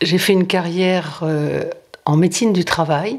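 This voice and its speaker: A woman at a medium pitch, ordinary pitch variation, and a very slow pace. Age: 70s. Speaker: retired occupational doctor, helpline volunteer. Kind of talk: testimony. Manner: hesitant, frequent fillers.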